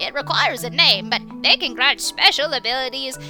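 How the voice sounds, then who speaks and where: Clear music plays in the background as a female-sounding put-on character voice speaks at a high pitch and a fairly quick pace. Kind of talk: audio drama dialogue.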